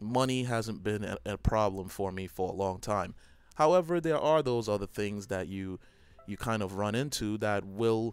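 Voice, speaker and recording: A man speaks with a slight Trinidadian accent. His pitch is fairly low. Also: very clean recording, silent background. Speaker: gaming YouTuber. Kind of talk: personal reflective monologue. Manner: hesitant, many fillers.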